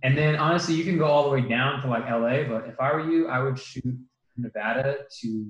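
This is a man with an American accent. His voice is somewhat breathy, with ordinary pitch variation. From US West Coast, Bay Area. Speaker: PhD student and biology lab instructor. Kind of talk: casual chat.

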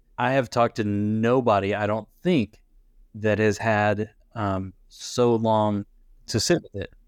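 In an unremarkable speaking voice, a man talks at a fairly slow pace, his fairly low pitch carried by fairly even intonation. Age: 40s. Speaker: podcast host, chaplain. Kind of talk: interview.

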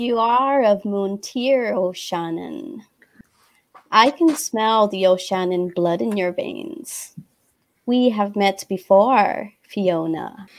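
A put-on character voice, raspy and fairly high, drags along at a very slow pace.

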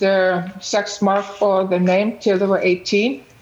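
The delivery comes at a fairly slow pace with monotone, flat intonation. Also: woman. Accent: Icelandic. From Iceland. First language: Icelandic. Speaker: parent and nonprofit founder. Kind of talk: panel discussion. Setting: video call.

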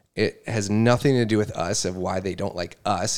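On a very clean recording with a silent background, a man with a plain, everyday voice speaks at a moderate pace, fairly low in pitch, with fairly even intonation. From Wisconsin, US Midwest. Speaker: podcast guest, host's husband. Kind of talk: casual chat.

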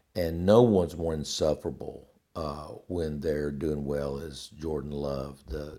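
A man's very deep, low voice with a dark, mellow tone at a fairly slow pace. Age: 60s. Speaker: podcast host. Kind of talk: casual monologue. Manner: halting, many fillers.

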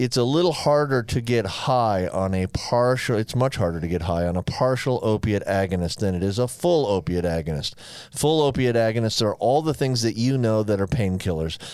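Here is a plain, everyday voice: a man at medium pitch with lively intonation and very even loudness. He speaks with hardly any pauses. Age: 60s. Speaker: physician and podcast co-host. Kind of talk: medical explanation; casual chat. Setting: studio.

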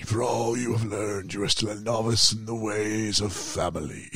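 A man does a put-on character voice at medium pitch and a moderate pace, with noticeable background noise.

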